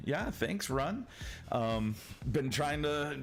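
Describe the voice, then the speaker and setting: At a moderate pace, the speech carries an audible room echo. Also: man. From Michigan. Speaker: gaming streamer. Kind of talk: casual chat. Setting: live stream. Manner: halting.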